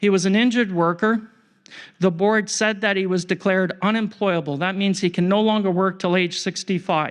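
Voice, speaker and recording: A man with a Canadian accent, high in pitch with ordinary pitch variation, at a fairly quick pace against a quiet background. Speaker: injured workers advocate. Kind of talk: conference presentation. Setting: conference stage with audience. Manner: fast.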